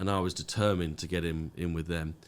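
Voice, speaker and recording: In a British accent, a man with a very deep, low voice talks at a fairly quick pace. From UK. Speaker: business owner. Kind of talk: podcast interview. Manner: hesitant, many fillers.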